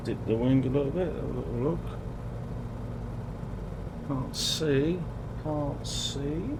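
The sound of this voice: A man talks slowly at a medium pitch. Clear background noise sits behind him. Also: ordinary pitch variation.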